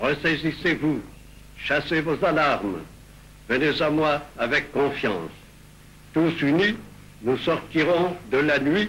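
A man's voice, fairly high in pitch, very slow, with long, frequent pauses, very even loudness and ordinary pitch variation. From France. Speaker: head of state. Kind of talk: political speech to the nation. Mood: grave, exhorting. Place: office. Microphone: old recording.

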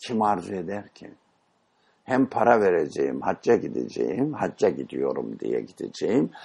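The man's volume rises and falls sharply. He talks fairly slowly. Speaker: Islamic teacher leading a study session. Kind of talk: religious lecture with discussion.

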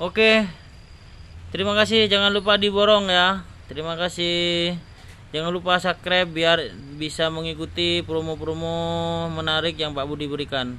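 A man's bright, sharp voice has a high pitch and moves at a moderate pace. Light background noise runs underneath. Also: ordinary pitch variation. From Indonesia. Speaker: orchid seller. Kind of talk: sales pitch. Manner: animated, excitable. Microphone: phone near.

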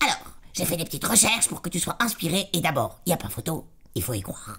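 A cartoonish character voice at a middle pitch and a fairly quick pace. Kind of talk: comic puppet show. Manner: bossy, impatient, sardonic.

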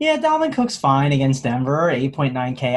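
Somewhat breathy, a man talks at a medium pitch. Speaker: fantasy sports analyst. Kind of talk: casual chat.

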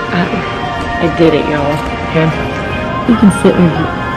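A woman speaks at a moderate pace. Loud music plays behind her. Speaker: college student. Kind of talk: casual vlog talk to camera. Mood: relieved, pleased. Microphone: phone near.

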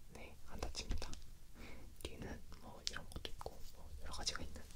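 A man whispers at a moderate pace. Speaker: ASMR creator. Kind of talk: casual ASMR chat. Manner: soft close-mic ASMR talk. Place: home room. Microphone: studio mic.

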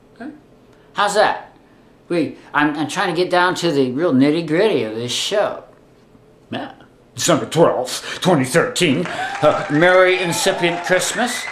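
A man at a fairly slow pace with long, frequent pauses, over noticeable background noise. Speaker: video blogger. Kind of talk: political opinion vlog. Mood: indignant, wry humor. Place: home room. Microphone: webcam.

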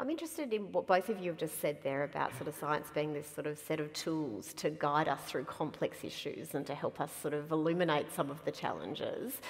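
With an Australian accent, a woman speaks at a very deep, low pitch and hardly pauses at all. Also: ordinary pitch variation, fairly quick pace. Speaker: event moderator, science organisation chief. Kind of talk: moderated public conversation. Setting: stage with audience. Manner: animated. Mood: warm, light humor. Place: hall.

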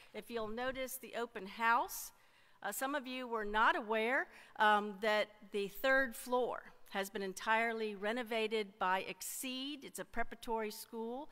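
A woman at a fairly slow pace, her bright, sharp tone showing big swings in loudness and ordinary pitch variation. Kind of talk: church announcements. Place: church. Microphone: podium.

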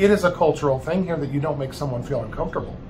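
Over noticeable background noise, a man talks with ordinary pitch variation. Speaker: channel host. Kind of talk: casual interview conversation. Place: home room.

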